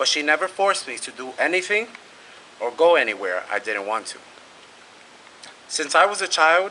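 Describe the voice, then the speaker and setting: A man with a Spanish accent and a fairly high pitch at a moderate pace, over noticeable background noise. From New York City (East Harlem, Brooklyn). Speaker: graduating student speaker. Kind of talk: prepared speech.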